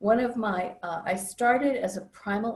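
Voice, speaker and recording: A woman's fairly high, somewhat breathy voice. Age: 70s. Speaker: psychologist and inner work facilitator. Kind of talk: interview.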